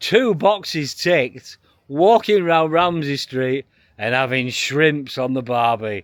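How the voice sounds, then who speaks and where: A very slow, lively-toned man's voice, fairly high in pitch, with an English accent, on a very clean recording with a silent background. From UK. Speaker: travel vlogger and hypnotist. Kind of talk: travel vlog.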